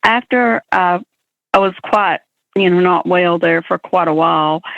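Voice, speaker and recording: A woman speaks with an Alabama accent at a medium pitch. Her pace is fairly slow and her intonation lively. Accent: Southern US (Alabama). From US South, Alabama. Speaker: blind entrepreneur. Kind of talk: interview.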